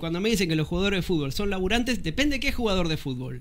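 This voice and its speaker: Speaking very fast, a man uses lively intonation. His pitch is high. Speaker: co-host reading chat. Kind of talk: casual chat. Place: studio. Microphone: studio mic.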